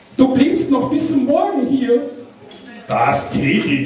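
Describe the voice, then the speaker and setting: Noticeable background noise fills the recording. Over it, a man talks at a very slow pace. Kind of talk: poetry reading.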